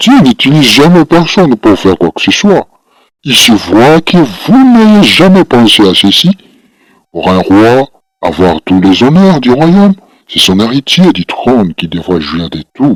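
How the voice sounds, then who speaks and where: A man's put-on character voice at a medium pitch, with very wide pitch swings, a moderate pace, and a dry, close sound with no echo. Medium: read story.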